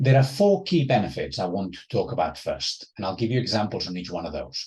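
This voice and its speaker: A man talks at a fairly quick pace. His voice is somewhat breathy, with very wide pitch swings. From Spain, Barcelona area. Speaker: professor. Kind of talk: lecture.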